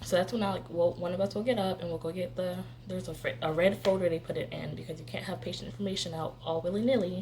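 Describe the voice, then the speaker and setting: A very fast pace with hardly any pauses, over noticeable background noise. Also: woman. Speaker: medical assistant vlogger. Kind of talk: casual vlog explanation.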